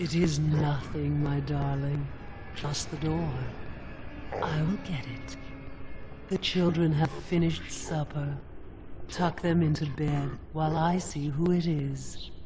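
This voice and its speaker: Someone talks in a put-on character voice at a fairly slow pace. Long, frequent pauses break up the speech over loud background noise. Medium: video game. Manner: silky, measured.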